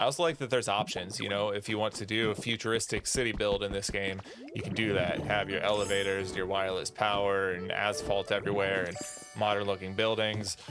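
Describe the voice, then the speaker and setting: With music in the background, a man speaks at a fairly quick pace in a fairly low pitch with fairly even intonation. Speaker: gaming streamer. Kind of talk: live game stream chat. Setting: live stream with chat. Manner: gets quiet and mumbles when focused; casual, many fillers and repeated words.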